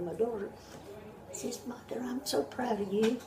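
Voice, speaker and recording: With music playing in the background, a woman talks at a medium pitch. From North Carolina. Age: 80s+. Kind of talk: interview answer.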